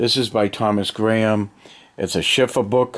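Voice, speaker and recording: A man's fairly low voice, relaxed in tone, with fairly even intonation at a moderate pace. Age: 50s. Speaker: hobbyist video maker. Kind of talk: casual show-and-tell. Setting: home basement. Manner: relaxed, hesitant with fillers. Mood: relaxed, nostalgic. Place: home room. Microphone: phone near.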